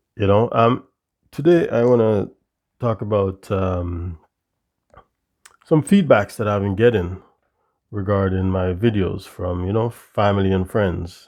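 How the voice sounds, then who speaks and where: Speaking at a fairly slow pace with long, frequent pauses, a man uses a fairly low pitch and ordinary pitch variation. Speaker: vlogger. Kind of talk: casual monologue. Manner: halting, many fillers.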